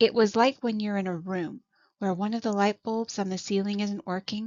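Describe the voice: Over a quiet background, plain reading aloud with fairly even intonation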